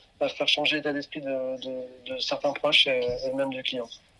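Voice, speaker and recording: An unremarkable speaking voice belongs to this man, who keeps a moderate pace and fairly even intonation. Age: 30s. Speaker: fashion brand founder. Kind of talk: interview.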